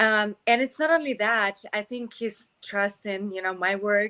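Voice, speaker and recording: A woman's bright, sharp voice at medium pitch with ordinary variation and a fairly slow pace. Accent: slight Russian. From Russia. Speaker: actress. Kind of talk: interview.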